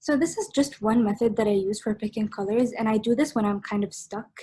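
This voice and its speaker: A woman at a fairly high pitch, somewhat breathy, with ordinary pitch variation and a fairly quick pace. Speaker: art workshop instructor. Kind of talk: online workshop tutorial. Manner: fast; casual, hesitant with fillers.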